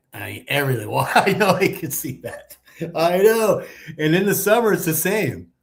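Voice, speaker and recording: Vocal fry runs through this voice, which carries an American accent and moves at a moderate pace. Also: man. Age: 60s. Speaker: retired expat YouTuber. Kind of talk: casual chat.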